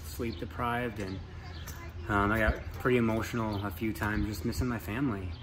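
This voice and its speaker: Against noticeable background noise, a man with a fairly low pitch talks at a fairly quick pace with lively intonation. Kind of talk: casual vlog chat. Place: bus. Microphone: phone near.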